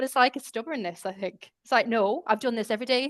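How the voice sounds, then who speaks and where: Dry and close with no echo over a quiet background, a woman talks at a very fast pace with a fairly high pitch. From Ireland, Galway. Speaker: communications specialist. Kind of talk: casual chat.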